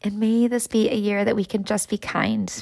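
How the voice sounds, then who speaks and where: An ordinary speaking voice with an American accent, a moderate pace and fairly even intonation, in a very clean recording over a silent background. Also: woman. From West Michigan. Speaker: school staff member and podcaster. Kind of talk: reflective motivational monologue. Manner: warm, encouraging.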